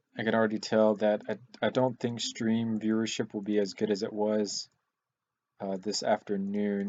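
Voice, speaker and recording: A man's fairly low voice runs in a monotone, flat intonation. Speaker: livestreamer building custom Lego models. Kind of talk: casual livestream chat. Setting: livestream. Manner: halting, many fillers.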